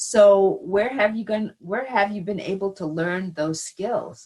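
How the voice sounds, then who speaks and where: A woman with an American accent speaks in a plain, everyday voice at a medium pitch. Her pace is fairly slow, with ordinary pitch variation. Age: 60s. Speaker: college president emerita. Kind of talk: conversational lecture. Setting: virtual event.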